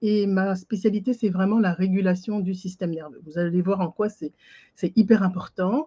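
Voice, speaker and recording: A woman's somewhat breathy voice with a dark, mellow tone comes through in dry, close sound with no echo over a quiet background. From French Antilles. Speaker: life coach. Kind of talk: webinar presentation. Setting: online video conference.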